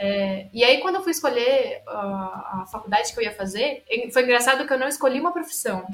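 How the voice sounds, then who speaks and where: A woman with a high pitch and ordinary pitch variation talks at a moderate pace as noticeable background noise carries on. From Brazil, São Paulo state (Araraquara). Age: 30s. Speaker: scientist. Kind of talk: casual interview.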